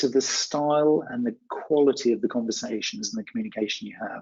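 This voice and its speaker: At a moderate pace, a man with a British accent speaks with very wide pitch swings. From UK. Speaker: communication skills trainer. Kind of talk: webinar Q&A. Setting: online webinar.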